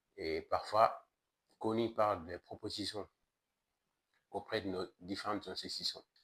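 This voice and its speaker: A man talks at a very slow pace with long, frequent pauses. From Mali. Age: 30s. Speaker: activist and entrepreneur. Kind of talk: political presentation to camera.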